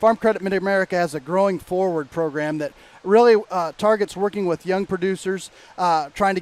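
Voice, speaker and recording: Ordinary pitch variation at a fairly quick pace. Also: man. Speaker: agricultural magazine editor and podcast co-host. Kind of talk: casual podcast conversation.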